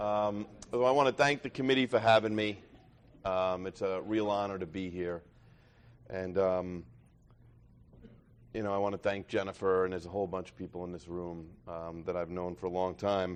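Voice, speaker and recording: In a New York accent, a man with a very deep, low pitch speaks at a moderate pace, with long, frequent pauses and big swings in loudness. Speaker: recovery meeting speaker. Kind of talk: testimony.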